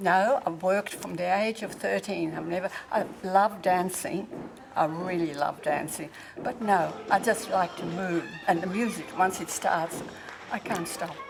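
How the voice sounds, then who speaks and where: Against noticeable background noise, a woman with an Australian accent speaks fairly slowly at a medium pitch with ordinary pitch variation. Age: 80s+. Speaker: fitness class participant. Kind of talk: interview.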